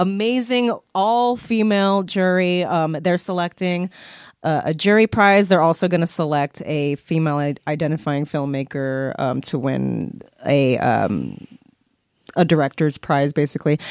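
A woman's very deep, low-pitched voice, fairly slow and lively in intonation, in a dry, close sound with no echo. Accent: Californian. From Bay Area, California. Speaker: actress and filmmaker. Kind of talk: casual chat.

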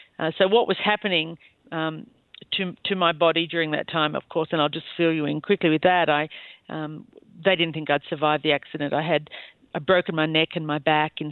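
A woman talks in an Australian accent at a moderate pace. Her pitch is very deep and low, and her intonation is monotone and flat. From Australia, rural New South Wales (Bowral). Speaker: former cross-country skier. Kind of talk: interview, personal life story.

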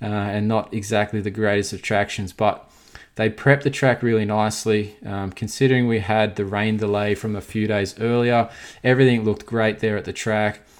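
A man with medium pitch talks at a fairly quick pace. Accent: Australian. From Australia. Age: 30s. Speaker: podcast host, motocross rider. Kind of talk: casual podcast monologue.

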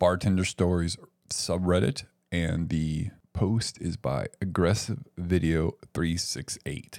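Speaking at a very slow pace, a man with a husky, very deep, low voice keeps a relaxed tone and ordinary pitch variation on a very clean recording with a silent background. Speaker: bartender and podcast host. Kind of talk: casual chat podcast banter. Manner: joking, relaxed.

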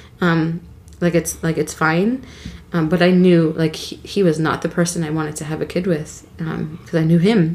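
A woman with a fairly low pitch talks at a moderate pace and fairly even intonation amid noticeable background noise. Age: 30s. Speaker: podcast guest, host's wife and mother. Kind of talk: personal testimony interview.

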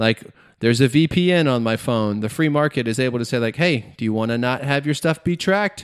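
A man with an American accent, medium pitch, moderate pace, ordinary pitch variation and an ordinary speaking voice. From US South (Georgia). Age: 30s. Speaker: podcaster. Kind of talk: casual chat. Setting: remote recording.

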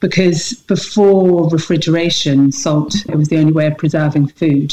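Speaking at a moderate pace, a woman has a very deep, low pitch and a dark, mellow tone. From Scotland. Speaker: salt maker. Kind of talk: interview.

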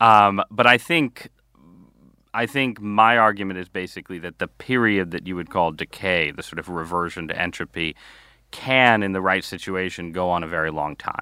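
A man with a very deep, low pitch and a bright, sharp tone at a moderate pace, dry and close with no echo, on a very clean recording with a silent background. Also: ordinary pitch variation. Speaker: newspaper columnist and author. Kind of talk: interview conversation.

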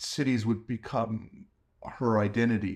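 An American accent with fairly even intonation. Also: man. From New York (Bronx), US. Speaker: animation film director. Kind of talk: interview. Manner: halting, many fillers.

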